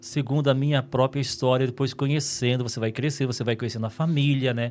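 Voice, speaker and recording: A man talks fairly quickly at a medium pitch, keeping his intonation fairly even. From northern Minas Gerais, Brazil. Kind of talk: interview conversation. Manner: calm.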